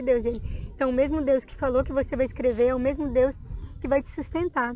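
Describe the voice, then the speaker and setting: A woman's high voice with ordinary pitch variation, set against music in the background. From Minas Gerais, Brazil. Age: 20s. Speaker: evangelical church member, dancer, teacher. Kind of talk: testimony.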